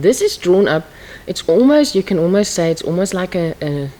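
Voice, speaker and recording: A woman with a fairly low pitch speaks against noticeable background noise. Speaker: accounting teacher. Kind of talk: lecture.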